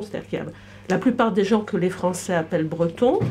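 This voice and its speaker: Somewhat breathy and dark, a woman's mellow voice carries ordinary pitch variation. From Brittany, France. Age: 60s. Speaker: audience member. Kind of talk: public debate. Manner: halting.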